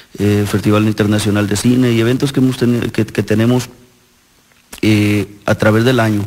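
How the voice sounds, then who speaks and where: Over noticeable background noise, a man talks at a moderate pace. His voice is fairly low in pitch, with monotone, flat intonation. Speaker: mayor. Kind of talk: interview. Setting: town council chamber. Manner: halting.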